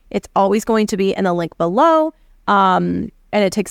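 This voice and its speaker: On a very clean recording with a silent background, a woman speaks at a medium pitch. The sound is dry and close, with no echo. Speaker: podcast host and feminine energy coach. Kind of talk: solo podcast monologue. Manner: fast.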